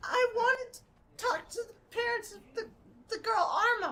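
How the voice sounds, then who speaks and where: A woman uses a put-on character voice. Her pitch is extremely high. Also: moderate pace. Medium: actual play. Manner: halting, apologetic.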